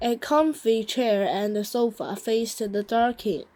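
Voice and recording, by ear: Someone reads out loud in a natural voice. Their intonation is fairly even.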